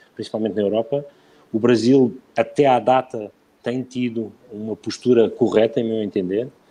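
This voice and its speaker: The man's tone is dark and mellow. He keeps his intonation fairly even. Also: medium pitch for a man, moderate pace. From Portugal. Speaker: bank executive. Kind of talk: live interview. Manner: halting.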